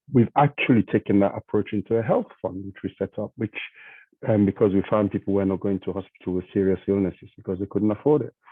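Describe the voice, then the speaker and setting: Speaking at a very fast pace, a man with a non-native accent keeps fairly even intonation at a fairly low pitch. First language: not English. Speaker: charity trustee. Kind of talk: panel discussion.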